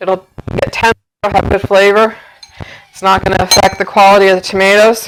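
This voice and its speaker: Speaking at a moderate speed, a woman uses a medium pitch. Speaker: home cooking video host. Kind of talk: cooking tutorial. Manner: loud.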